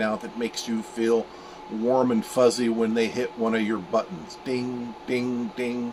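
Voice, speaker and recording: Over noticeable background noise, a man talks at a moderate pace with medium pitch. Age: 60s. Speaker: vlogger. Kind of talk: casual vlog monologue. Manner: casual, with fillers.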